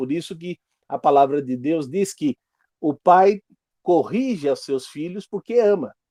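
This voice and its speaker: Speaking fairly slowly, a man with a high pitch and a dark, mellow tone swings his pitch very widely, heard in a dry, close recording with no echo. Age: 60s. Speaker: Sunday school teacher. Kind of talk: Bible class lesson.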